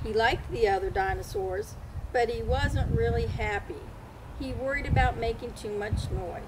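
The clip is plain reading aloud.

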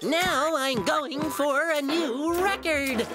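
A cartoonish character voice, high-pitched and very slow, comes through over loud background noise. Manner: energetic, excited.

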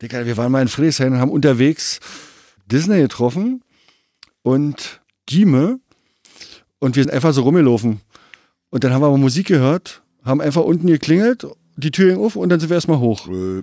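A man's fairly high voice with a dark, mellow tone, lively intonation, a fairly quick pace and long, frequent pauses. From East Berlin (Treptow). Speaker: graffiti writer. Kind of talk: casual chat.

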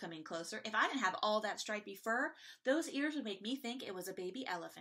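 Lively intonation runs through this. It comes in an unforced reading voice.

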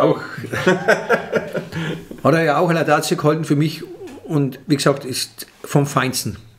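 Over light background noise, a man talks with a fairly high pitch and ordinary pitch variation. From Franconia. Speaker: comedian. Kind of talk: interview answer. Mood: relaxed, animated. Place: home room. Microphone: studio mic.

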